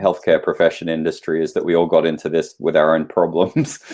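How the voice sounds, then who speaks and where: A man speaks with an Australian accent. His pitch is very deep and low. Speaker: naturopathic practitioner and lecturer. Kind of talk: interview. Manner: halting.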